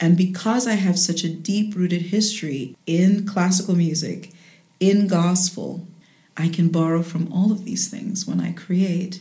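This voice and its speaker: A woman's somewhat breathy voice, medium in pitch and dark and mellow in tone, at a fairly slow pace with fairly even intonation. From Jamaica, later raised in the United States. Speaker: jazz singer and voice teacher. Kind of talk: interview.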